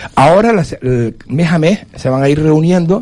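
Despite noticeable background noise, the man's lively intonation comes through. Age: 60s. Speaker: political commentator. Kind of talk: panel discussion.

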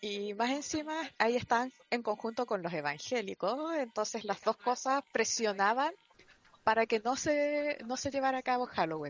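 Speaking with a Chilean accent, a woman uses a high pitch and lively intonation. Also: moderate pace. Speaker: podcast panelist. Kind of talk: casual group chat.

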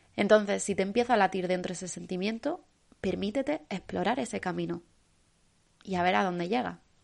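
Against a quiet background, a woman with a medium pitch and vocal fry talks at a fairly quick pace with ordinary pitch variation. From Spain, Almería. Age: 20s. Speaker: podcast host. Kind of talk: solo motivational podcast monologue.

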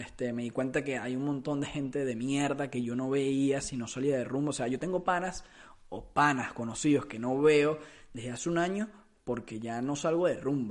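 A man speaks with a Venezuelan accent. His pitch is fairly high. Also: ordinary pitch variation, moderate pace. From Venezuela (Caracas). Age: 20s. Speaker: podcast host. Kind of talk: casual monologue. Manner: halting, with repetitions.

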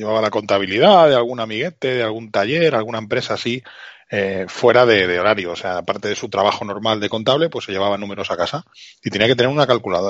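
Speaking very fast, a man uses a fairly low pitch with ordinary pitch variation. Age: 40s. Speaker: retro technology podcaster. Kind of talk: casual chat.

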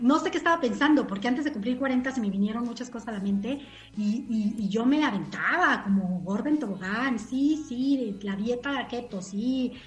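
Over music in the background, a woman speaks at a high pitch with lively intonation. Her pace is moderate, and there is audible room echo. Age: 40s. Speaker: guest. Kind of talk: casual chat.

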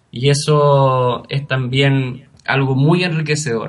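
This man speaks with a Chilean accent at a fairly high pitch, his intonation monotone and flat. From Chile, Araucanía region. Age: 30s. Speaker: scholarship recipient, master's graduate. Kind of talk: interview.

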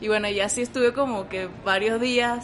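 A woman's fairly high voice at a fairly quick pace, with noticeable background noise and audible room echo. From Venezuela. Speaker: photographer. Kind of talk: interview.

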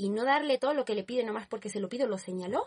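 A woman speaks at a fairly high pitch, somewhat breathy, with ordinary pitch variation. The sound is dry and close, with no echo. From Spain, Barcelona. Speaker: student. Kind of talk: casual chat.

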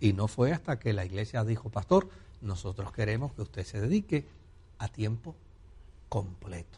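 A man speaks at a fairly low pitch in a dark, mellow, somewhat breathy tone. His pace is moderate, with long, frequent pauses. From Puerto Rico. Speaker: pastor and broadcast host. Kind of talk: religious Q&A call-in program.

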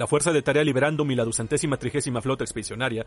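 A man's medium-pitched, somewhat breathy voice, dramatic and theatrical in tone, very fast with fairly even intonation. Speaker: podcast host and narrator. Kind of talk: dramatized audio story narration with voice actors. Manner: dramatic, theatrical, solemn narration.

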